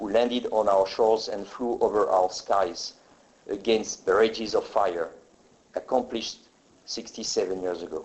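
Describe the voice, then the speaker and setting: A man with a French accent at a moderate pace. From France. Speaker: military pilot. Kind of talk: formal ceremony speech.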